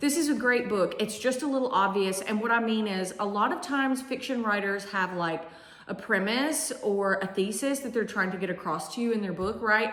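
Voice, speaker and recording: A woman talks at a moderate pace with a medium pitch and ordinary pitch variation. Noticeable background noise and audible room echo come through. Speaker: English teacher and book reviewer. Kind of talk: casual book review vlog. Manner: animated.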